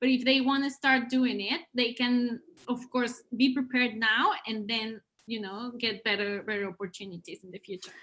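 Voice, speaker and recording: The speaker has a Spanish accent and a bright, sharp tone, talking at a moderate pace. Pitch variation is ordinary, while loudness swings widely. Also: woman, high pitch for a woman. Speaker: education consultant, live stream host. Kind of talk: live stream interview. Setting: live video stream.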